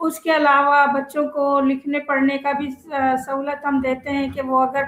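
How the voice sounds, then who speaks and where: A woman talks in a high-pitched voice with monotone, flat intonation. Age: 60s. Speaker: madrasa principal. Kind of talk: interview.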